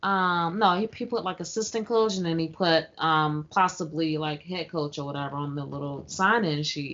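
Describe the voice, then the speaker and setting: This is a plain, everyday voice with ordinary pitch variation. It runs on with hardly any pauses. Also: woman, fairly low pitch for a woman, moderate pace. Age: 30s. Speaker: podcast co-host. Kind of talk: casual chat.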